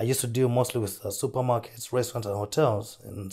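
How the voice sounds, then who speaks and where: Very fast and somewhat breathy, a man speaks at medium pitch. The recording is very clean, with a silent background. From Zambia, rural south. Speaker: entrepreneur. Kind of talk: interview.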